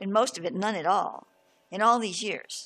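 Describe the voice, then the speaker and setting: With music in the background, a woman speaks at medium pitch with ordinary pitch variation. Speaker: spiritual teacher. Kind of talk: reading aloud with commentary; spiritual talk. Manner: halting.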